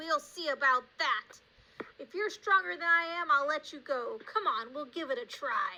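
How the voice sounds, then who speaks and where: Using a put-on character voice, a woman speaks at a moderate pace and a high pitch. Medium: read story. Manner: blustering, threatening.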